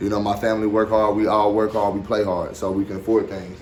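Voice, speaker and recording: A man speaks at a fairly quick pace with a fairly low pitch. There is audible echo from the room. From Arkansas. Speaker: dog breeder. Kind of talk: tutorial. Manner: casual, repetitive filler.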